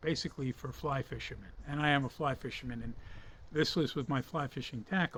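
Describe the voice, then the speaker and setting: Here a man with an American accent uses an ordinary speaking voice, pitched fairly high. He talks at a fairly quick pace with ordinary pitch variation. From United States. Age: 60s. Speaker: fishing hobbyist and reviewer. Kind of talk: product review. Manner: casual, with frequent fillers.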